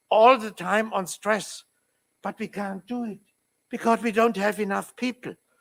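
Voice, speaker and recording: Speaking in a German accent, a man uses a high pitch with ordinary pitch variation. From Germany. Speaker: labour law professor. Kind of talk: conference talk.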